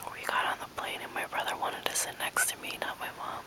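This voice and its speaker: Whispering in a relaxed tone at a moderate pace, a woman comes through noticeable background noise. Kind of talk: whispered ASMR talk to camera. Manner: whispered, soft, relaxed.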